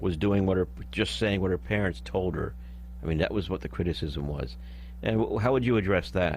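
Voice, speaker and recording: With a very deep, low pitch and vocal fry, a man speaks at a fairly quick pace, his pitch swinging very widely. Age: 60s. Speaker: radio host. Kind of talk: radio talk show interview. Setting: radio studio.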